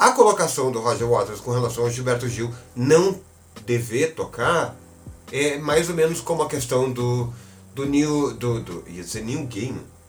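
Noticeable background noise and audible room echo fill the recording. A man speaks at a fairly slow pace at medium pitch with ordinary pitch variation. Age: 40s. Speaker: journalist. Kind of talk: casual chat.

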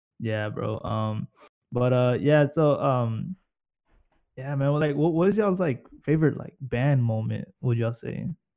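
A man's dark, mellow, medium-pitched voice with an American accent, fairly slow pace and ordinary pitch variation. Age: 20s. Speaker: podcast host. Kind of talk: casual chat. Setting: online call from home computers.

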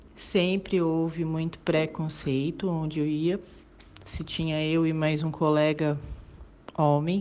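A dark, mellow monotone at a very slow pace, with long, frequent pauses. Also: woman, very deep, low pitch for a woman. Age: 40s. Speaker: sales manager. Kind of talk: recorded testimony.

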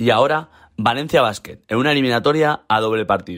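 Here a man talks at a fairly quick pace with lively intonation and an unremarkable speaking voice. The recording is very clean, with a silent background. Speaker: club podcast host. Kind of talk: scripted narration; interview.

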